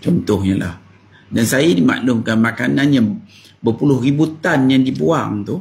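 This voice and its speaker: With vocal fry and very wide pitch swings, a man speaks at a fairly slow pace in a medium pitch. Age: 60s. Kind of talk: talk to camera.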